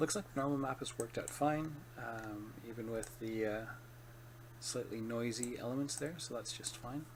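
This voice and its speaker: A man talks at a moderate pace and medium pitch, somewhat breathy. His intonation is fairly even and his tone bored. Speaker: 3D artist. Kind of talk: software tutorial narration. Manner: bored-sounding.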